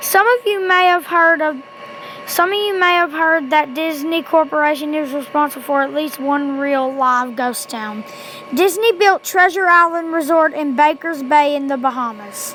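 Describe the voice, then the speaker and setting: Over noticeable background noise, a woman talks in a high pitch with ordinary pitch variation. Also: moderate pace. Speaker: amateur creepypasta reader. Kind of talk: horror story reading.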